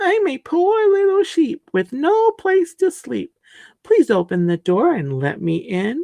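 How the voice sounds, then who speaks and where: A put-on character voice, extremely high-pitched and soft-spoken, at a fairly slow pace over a quiet background. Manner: sweet, coaxing, deceptive.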